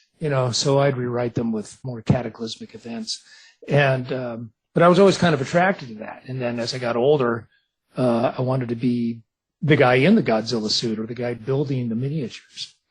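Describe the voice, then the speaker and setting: A man with an American accent speaks fairly quickly at a medium pitch. His voice is somewhat breathy, with ordinary pitch variation. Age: 60s. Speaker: author and visual effects artist. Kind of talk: radio interview. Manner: casual, animated.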